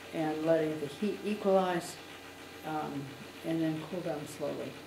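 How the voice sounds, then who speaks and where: A woman talks at a fairly low pitch in a monotone, flat intonation. Noticeable background noise is present. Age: 80s+. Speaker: glass artist and spinner. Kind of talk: casual chat; casual guided tour explanation. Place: shop. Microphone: phone near.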